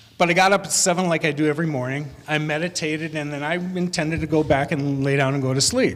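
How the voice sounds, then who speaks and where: With an American accent and noticeable background noise, a man talks very fast at a fairly high pitch, with fairly even intonation and hardly any pauses. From US Midwest. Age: 60s. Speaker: conference speaker. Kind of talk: storytelling talk.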